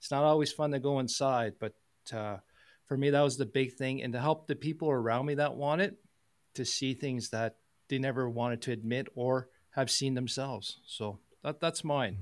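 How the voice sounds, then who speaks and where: This man has an ordinary speaking voice at medium pitch, moving at a moderate pace with ordinary pitch variation, and the recording is very clean with a silent background. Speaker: engineering company CEO and podcast host. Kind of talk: panel discussion.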